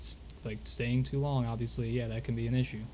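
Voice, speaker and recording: Audible room echo surrounds a man as he speaks at a fairly quick pace. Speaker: roleplay streamer. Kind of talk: in-character roleplay chat. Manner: whispering.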